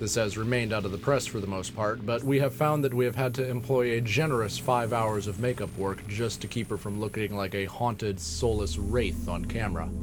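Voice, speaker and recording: The delivery is deadpan and fairly quick, with hardly any pauses and noticeable background noise. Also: man, fairly low pitch for a man. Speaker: podcast host and fiction narrator. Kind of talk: scripted absurdist narration, with a mock-ad intro. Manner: deadpan, dry, formal delivery.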